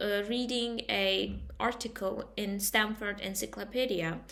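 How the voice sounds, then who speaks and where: A woman with a non-native accent speaks with ordinary pitch variation. Her tone is bright and sharp. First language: not English. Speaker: student. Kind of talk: class presentation. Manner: halting.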